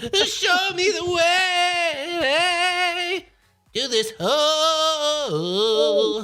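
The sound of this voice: In a put-on character voice, the speaker talks in a high pitch at a very slow pace.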